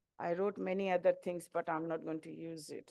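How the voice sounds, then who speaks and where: A woman speaks with a Bengali accent. The background is quiet. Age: middle-aged. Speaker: community member. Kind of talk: testimony. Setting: hall with audience. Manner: halting.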